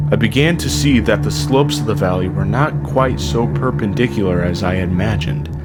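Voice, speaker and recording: With music in the background, a man with a very deep, low pitch talks at a moderate pace, his pitch swinging very widely. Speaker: amateur narrator. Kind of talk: horror story narration.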